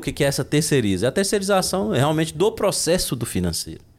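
A man's fairly high voice with vocal fry, very wide pitch swings and a very fast pace. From Brazil, Minas Gerais (Unaí, rural). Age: 40s. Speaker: entrepreneur and accountant. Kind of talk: casual interview.

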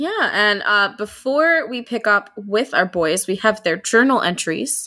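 Lively intonation in an unforced reading voice

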